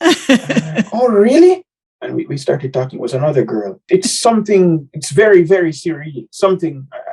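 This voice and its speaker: This man has a high voice and speaks at a moderate pace. His pitch swings very widely and his loudness swings a lot. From Jamaica. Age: 20s. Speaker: singer, college student. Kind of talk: interview. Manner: halting, many repetitions.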